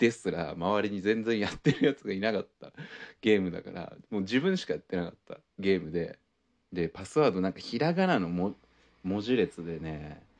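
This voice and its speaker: Big swings in loudness from a male speaker at a moderate pace. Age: 30s. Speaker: podcast host. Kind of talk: casual monologue.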